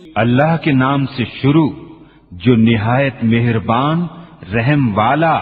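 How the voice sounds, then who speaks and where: The speech comes at a very slow pace with long, frequent pauses and ordinary pitch variation over noticeable background noise. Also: man, medium pitch for a man. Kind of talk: read translation of scripture.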